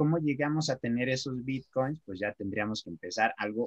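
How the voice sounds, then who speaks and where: Heard in a dry, close recording with no echo, a man of medium pitch talks at a moderate pace with ordinary pitch variation. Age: 20s. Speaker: marketer and web developer. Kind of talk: casual improvised chat.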